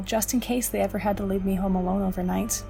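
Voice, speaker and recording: A woman's medium-pitched, monotone, flat delivery with music in the background. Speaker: horror story narrator. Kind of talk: horror story narration.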